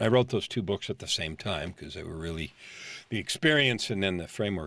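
A man with an American accent and a normal speaking voice, lively intonation and a fairly quick pace, on a very clean recording with a silent background. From California, San Francisco Bay Area. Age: 50s. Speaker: life coach. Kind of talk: interview.

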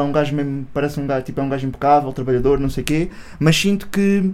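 Over noticeable background noise, a man talks with a European Portuguese accent and fairly even intonation. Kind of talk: casual chat.

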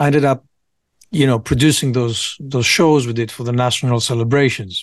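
A man speaks with a Greek accent at a moderate pace. His medium pitch shows ordinary pitch variation over a quiet background. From Greece, Piraeus. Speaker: rapper and producer. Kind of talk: casual chat.

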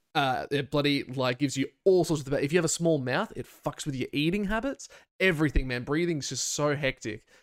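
A man talks at a fairly quick pace. He has an Australian accent. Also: fairly high pitch for a man, ordinary pitch variation. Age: 20s. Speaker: podcast host and streamer. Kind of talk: casual chat.

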